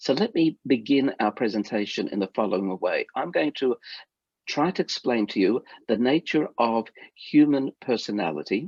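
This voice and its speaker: A man with an Australian accent talks at a moderate pace and medium pitch with lively intonation, his dry, close sound carrying no echo over a quiet background. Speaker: rabbi and lecturer. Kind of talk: lecture. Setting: video call.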